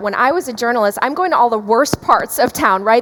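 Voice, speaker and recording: At a fairly quick pace, a woman with an American accent speaks with lively intonation over noticeable background noise. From US Midwest, Chicago area. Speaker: podcast host and journalist. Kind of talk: interview. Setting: stage at an event.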